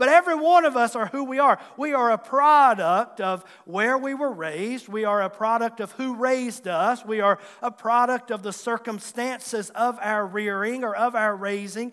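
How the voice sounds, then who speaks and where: Bright and sharp in tone, a man speaks at an extremely high pitch and a moderate pace, with ordinary pitch variation and hardly any pauses. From Southwest Virginia, Tazewell County. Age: 40s. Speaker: pastor. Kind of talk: sermon. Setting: church.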